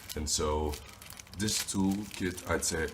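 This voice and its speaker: With fairly even intonation, a man speaks amid noticeable background noise and audible room echo. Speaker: YouTuber teaching phone repair business. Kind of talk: tutorial. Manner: casual, with fillers.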